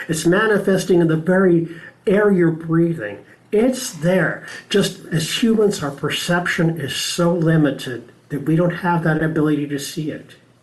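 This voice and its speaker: A man speaks at a high pitch with ordinary pitch variation. Noticeable background noise and audible room echo come through. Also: moderate pace. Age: 60s. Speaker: spiritual practitioner and speaker. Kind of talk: sermon.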